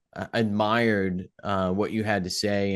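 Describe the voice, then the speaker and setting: Against a quiet background, a man with a New England accent speaks at a fairly slow pace in a very deep, low pitch with monotone, flat intonation. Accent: New England, drops his G's. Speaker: podcast host. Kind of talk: podcast interview; scripted intro.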